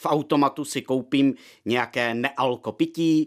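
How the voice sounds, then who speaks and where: The recording is very clean with a silent background. A man speaks in an ordinary speaking voice at a medium pitch and a fairly slow pace. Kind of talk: historical scene-setting narration. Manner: informative, measured, formal.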